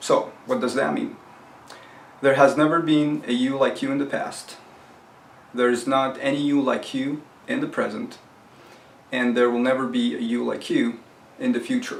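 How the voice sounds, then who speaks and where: Room echo and noticeable background noise surround a man's voice. He talks at a moderate pace, with long, frequent pauses. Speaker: self-help video host. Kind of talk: tutorial. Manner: casual, conversational.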